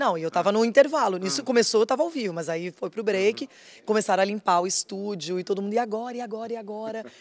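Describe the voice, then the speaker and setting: This woman's intonation is lively. She talks very fast. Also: medium pitch for a woman. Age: 40s. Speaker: TV sports show presenter. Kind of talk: casual interview. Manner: expressive.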